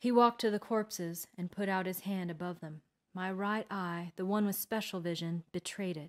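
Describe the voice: Plain reading aloud with fairly even intonation plays over a quiet background.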